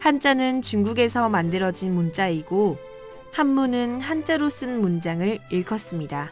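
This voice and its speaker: With music in the background, a woman speaks in very wide pitch swings. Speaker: student radio host. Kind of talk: radio educational segment.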